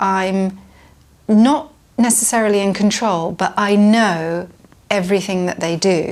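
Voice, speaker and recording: A woman with a British accent speaks at a medium pitch and a fairly slow pace. She leaves long, frequent pauses. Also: ordinary pitch variation. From UK. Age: 50s. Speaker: parent interviewee. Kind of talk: interview answer. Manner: hesitant, many fillers.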